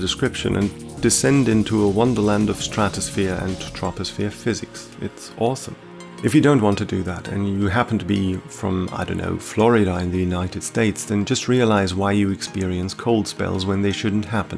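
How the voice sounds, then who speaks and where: Over music in the background, a man with a fairly low pitch talks at a fairly quick pace in a calm, relaxed tone, with ordinary pitch variation and hardly any pauses. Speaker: science podcaster, channel owner. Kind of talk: educational science narration, podcast. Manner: calm, relaxed, unintentionally ASMR-like.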